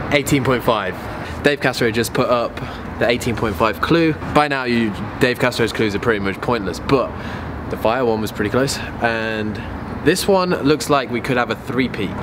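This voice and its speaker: Over noticeable background noise, a man talks at a fairly slow pace with ordinary pitch variation. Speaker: fitness vlogger. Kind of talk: casual vlog chat. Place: street. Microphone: phone near.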